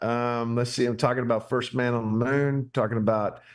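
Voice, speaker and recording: A man speaks at a medium pitch with an American accent. The background is quiet. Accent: hillbilly. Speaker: pastor. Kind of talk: casual chat. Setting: barn.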